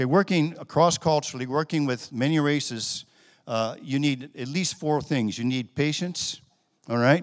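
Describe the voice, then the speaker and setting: In an ordinary speaking voice with an American accent, the speaker talks at a moderate pace on a very clean recording with a silent background. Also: man, fairly high pitch for a man, ordinary pitch variation. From United States. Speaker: missionary pastor. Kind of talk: sermon.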